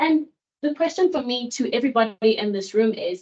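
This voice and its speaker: A woman speaks in a normal speaking voice, fairly high in pitch with lively intonation. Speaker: seminar panelist. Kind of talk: academic seminar presentation.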